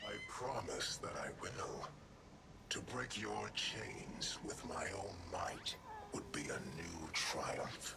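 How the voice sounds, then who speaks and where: Whispering in a put-on character voice, a man goes at a very slow pace over loud background noise. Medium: machinima. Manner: haughty, grave.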